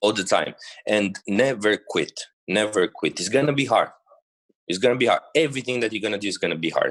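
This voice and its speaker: A man with a Romanian accent speaks at a fairly quick pace, his pitch medium and its variation ordinary. The sound is dry and close, with no echo. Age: 20s. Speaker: bodybuilder. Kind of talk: podcast interview. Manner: halting.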